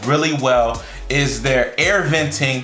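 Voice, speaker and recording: A man's voice with audible room echo and faint background music. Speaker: product reviewer. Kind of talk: product review talk to camera. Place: kitchen.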